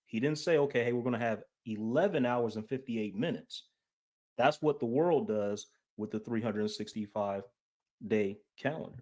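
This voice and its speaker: This man's voice sits at a medium pitch with ordinary pitch variation. The recording is very clean, with a silent background. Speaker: Bible teacher presenting on calendars. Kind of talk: presentation.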